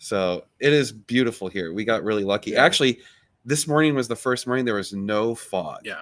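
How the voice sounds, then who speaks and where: At a fairly quick pace, a man talks with ordinary pitch variation. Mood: relaxed, laughing. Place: garden.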